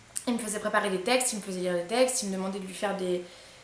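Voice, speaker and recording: A woman speaks with ordinary pitch variation. The room echo is audible, and background noise is noticeable. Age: 20s. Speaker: YouTuber. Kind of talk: storytime testimony. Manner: halting.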